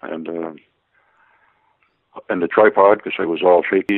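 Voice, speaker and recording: This man speaks at a fairly quick pace. His delivery moves along briskly. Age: 60s. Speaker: guest sharing UFO encounter experiences. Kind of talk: interview.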